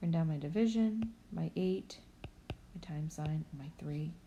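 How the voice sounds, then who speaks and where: The delivery is somewhat breathy, with a dark, mellow tone and lively intonation. The pace is moderate. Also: woman. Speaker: elementary school teacher. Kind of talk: tutorial. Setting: recorded video lesson.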